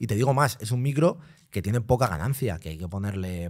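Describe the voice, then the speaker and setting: A man speaks at a very fast pace with lively intonation. The recording is very clean, with a silent background. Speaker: DJ. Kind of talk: casual chat. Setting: studio.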